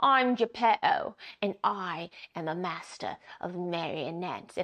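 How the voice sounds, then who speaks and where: Against a quiet background, someone puts on a character voice at a fairly slow pace. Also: female-sounding voice, medium pitch for a woman. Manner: theatrical.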